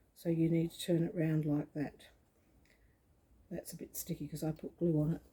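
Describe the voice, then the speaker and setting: This woman has a fairly low pitch and a dark, mellow tone. Her voice sounds somewhat breathy. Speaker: quilting tutor. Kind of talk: tutorial. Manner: slow.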